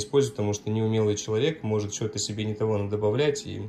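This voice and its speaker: Faint music plays in the background as a man speaks at a very fast pace, his fairly low voice showing ordinary pitch variation. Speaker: coffee machine seller. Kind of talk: tutorial. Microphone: phone near.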